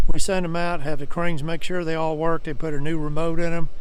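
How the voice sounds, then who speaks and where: A man with a Southern US accent talks at a fairly quick pace with fairly even intonation. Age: 70s. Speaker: truck dealer. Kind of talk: sales pitch. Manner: folksy, casual.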